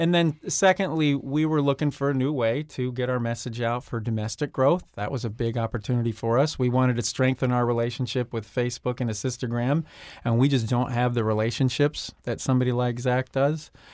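Speaking with hardly any pauses, a man uses an unremarkable speaking voice at a medium pitch with fairly even intonation. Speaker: company president. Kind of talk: radio interview.

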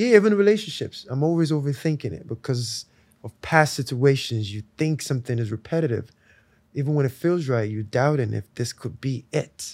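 This very clean recording has a silent background. A man at medium pitch talks at a fairly quick pace with lively intonation and big swings in loudness. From Nigeria (Lagos). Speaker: musician. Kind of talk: casual chat. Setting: outdoors.

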